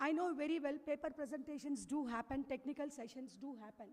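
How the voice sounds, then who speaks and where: A woman talks in a high voice. Her pace is moderate. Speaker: university dean. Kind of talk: welcome address. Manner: formal.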